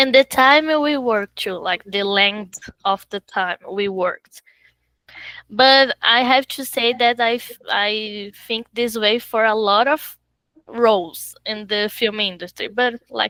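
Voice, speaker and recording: In a very clean recording with a silent background, a woman with a Portuguese accent speaks very slowly in a bright, sharp, fairly high voice with ordinary pitch variation and a dry, close sound with no echo. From Brazil. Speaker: film assistant director. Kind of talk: interview. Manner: halting.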